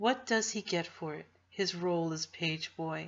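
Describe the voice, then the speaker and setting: Speaking at a fairly slow pace, a woman with an American accent uses ordinary pitch variation. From New Jersey, USA. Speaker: audiobook reader. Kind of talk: novel reading. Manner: informal.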